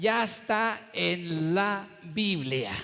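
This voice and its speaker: A man speaks with lively intonation. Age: 60s. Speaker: pastor. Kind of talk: sermon.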